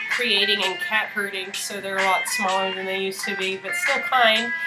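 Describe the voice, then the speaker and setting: A woman talking at a fairly quick pace with ordinary pitch variation over loud background music. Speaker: art director hosting a stream. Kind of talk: live stream host chat. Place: home room. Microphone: webcam.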